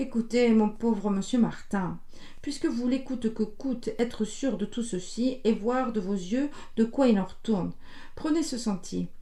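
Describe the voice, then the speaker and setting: In a put-on character voice, a woman speaks hoarsely at a fairly high pitch and a moderate pace over noticeable background noise. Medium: read story. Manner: solemn, sighing.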